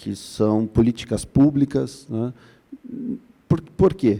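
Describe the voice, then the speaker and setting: Speaking fairly slowly with a Paraná accent, a man has a medium pitch and a dark, mellow tone. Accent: Paraná accent, 'drier' southern Brazilian. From Curitiba, Paraná, southern Brazil. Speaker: labor prosecutor, conference panelist. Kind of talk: conference panel talk. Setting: conference stage with audience. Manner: hesitant, many fillers.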